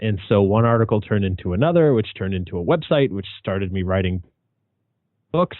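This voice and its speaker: An unremarkable speaking voice from a man with an American accent, lively intonation and a fairly quick pace. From New England, US. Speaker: paranormal author and researcher. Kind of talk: interview. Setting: podcast.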